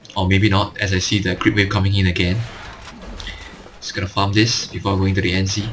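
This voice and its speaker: Over noticeable background noise, a man with a fairly low pitch talks fairly quickly in a flat monotone, leaving long, frequent pauses. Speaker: gaming commentator. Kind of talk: gameplay commentary tutorial.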